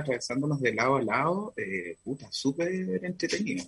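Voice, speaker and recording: This man has a fairly high voice and a Chilean accent. He talks at a fairly quick pace. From Chile, Concepción. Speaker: fashion designer. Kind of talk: casual interview chat.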